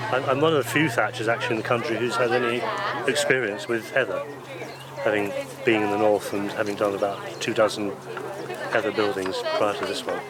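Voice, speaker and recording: Amid audible room echo and noticeable background noise, a man talks at a fairly quick pace with long, frequent pauses, medium pitch, and ordinary pitch variation. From northern England, Scarborough, Yorkshire. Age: 60s. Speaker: thatcher. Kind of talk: interview.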